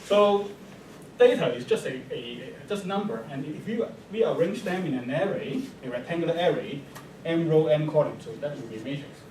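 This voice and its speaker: A man with a Chinese accent speaks at a moderate pace in a high voice, his pitch swinging very widely and his loudness rising and falling sharply. Noticeable background noise and audible room echo fill the recording. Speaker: mathematics professor. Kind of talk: lecture. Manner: hesitant, many fillers.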